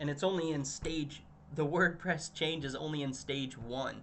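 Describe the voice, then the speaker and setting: Audible room echo hangs around this voice. It speaks fairly slowly, with fairly even intonation. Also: man. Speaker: communications director presenting marketing results. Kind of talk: business presentation. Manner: halting, many fillers and restarts.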